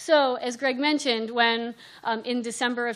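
A woman speaks in a plain, everyday voice at a fairly high pitch. Her pace is moderate and her intonation fairly even. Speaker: Spanish literature professor. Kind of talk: panel discussion. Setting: stage with audience.

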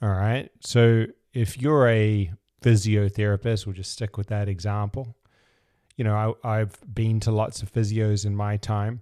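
A dark, mellow voice speaks at a fairly slow pace with monotone, flat intonation. The sound is dry and close with no echo, on a very clean recording with a silent background. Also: man, fairly low pitch for a man. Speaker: business coach podcast host. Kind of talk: solo podcast monologue.

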